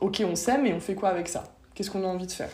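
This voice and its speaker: A woman is speaking. The room echo is audible. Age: 20s. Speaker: podcast guest. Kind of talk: casual chat.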